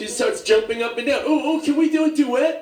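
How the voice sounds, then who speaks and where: Over noticeable background noise, a man with a New York accent talks at a moderate pace. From New York, Staten Island. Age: 60s. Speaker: comedian. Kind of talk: stand-up.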